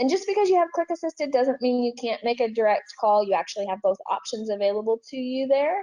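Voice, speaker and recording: A woman's high voice has a dark, mellow tone and very wide pitch swings. She speaks very fast with hardly any pauses. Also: dry, close sound with no echo. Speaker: software trainer. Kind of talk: webinar presentation.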